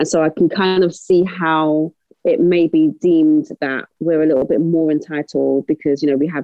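A South London accent at a moderate pace. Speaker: co-host. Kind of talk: casual interview chat.

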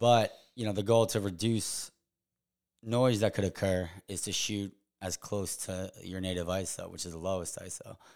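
An ordinary speaking voice from a man with an American accent, fairly low in pitch, at a moderate pace and fairly even intonation, in a very clean recording with a silent background. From Long Island, New York (East Hampton). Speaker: professional photographer. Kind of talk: casual chat.

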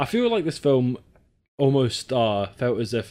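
With a Scottish accent, a man talks in a dark, mellow tone. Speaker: podcast co-host. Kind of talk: casual chat.

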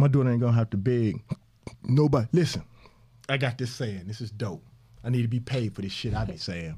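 In a dark, mellow tone, a man speaks at a fairly quick pace and medium pitch, somewhat breathy, with ordinary pitch variation and long, frequent pauses. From Mississippi. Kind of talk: casual interview. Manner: animated.

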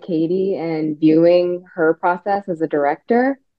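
A woman speaks in an American accent. Her pace is very slow. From Texas. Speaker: actress and dancer. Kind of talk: interview.

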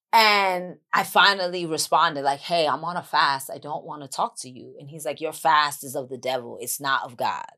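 With a New York accent, a woman speaks in a very deep, low voice with a bright, sharp tone, ordinary pitch variation, hardly any pauses and a moderate pace, on a very clean recording with a silent background. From Bronx, New York. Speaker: actress and author. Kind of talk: casual podcast interview.

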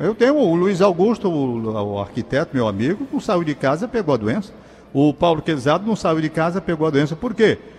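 Very wide pitch swings and a fairly quick pace from a man. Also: fairly high pitch for a man. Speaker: radio host. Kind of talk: radio call-in show. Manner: fumbling his words today.

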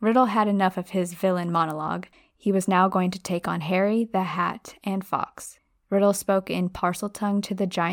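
Natural-voiced reading aloud over a quiet background, its intonation fairly even

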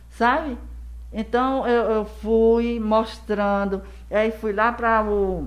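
With audible room echo, a woman speaks very slowly in a fairly high pitch, her intonation flat and monotone and her loudness very even. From Brazil, Rio Grande do Norte and Paraíba (Northeast). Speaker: educator and school founder. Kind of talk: casual interview.

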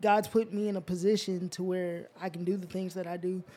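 At a moderate pace, a man with a slight Southern US accent speaks in a high pitch, his dark, mellow tone held to a monotone, flat intonation. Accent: slight Southern country twang. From US South, Georgia (moved from Alaska as a child). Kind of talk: casual chat. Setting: studio.

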